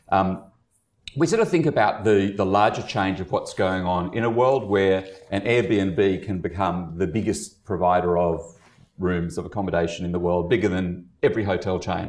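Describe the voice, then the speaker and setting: A man talks at a moderate pace with a very deep, low pitch. His pitch varies in an ordinary way against a quiet background. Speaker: activist organization leader; panelist. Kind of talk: panel discussion. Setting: stage with audience. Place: meeting room.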